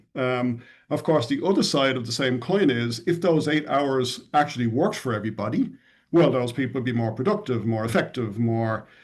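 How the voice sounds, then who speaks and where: A man with an Irish accent, medium pitch and lively intonation, at a fairly quick pace against a quiet background. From Ireland, Dublin. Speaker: tech company CEO. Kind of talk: podcast interview.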